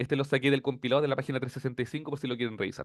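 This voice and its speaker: Speaking at a very fast pace with a Chilean accent, a man holds a fairly high pitch and fairly even intonation. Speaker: teaching assistant. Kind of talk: tutorial.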